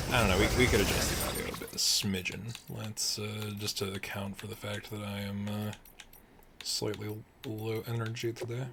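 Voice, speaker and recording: Soft-spoken and mumbling, the voice moves at a moderate pace over noticeable background noise. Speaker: gaming streamer. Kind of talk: live game stream commentary. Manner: quiet, soft-spoken.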